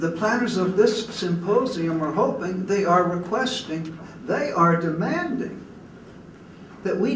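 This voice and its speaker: With audible room echo and noticeable background noise, a man speaks at a fairly slow pace and a high pitch. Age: 80s+. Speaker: retired Methodist preacher, keynote speaker. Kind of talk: keynote speech.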